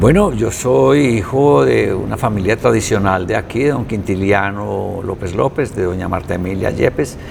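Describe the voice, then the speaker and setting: Against noticeable background noise, a man speaks at a moderate pace with lively intonation and hardly any pauses. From Colombia, Quimbaya (Quindío). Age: 60s. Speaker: visual artist. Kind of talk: interview.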